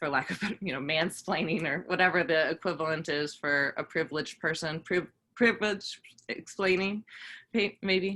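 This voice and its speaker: The tone is bright and sharp, with ordinary pitch variation, on a very clean recording with a silent background. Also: woman, fairly low pitch for a woman. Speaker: voter registration organizer. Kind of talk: presentation to community groups. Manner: fast; many fillers, hesitant.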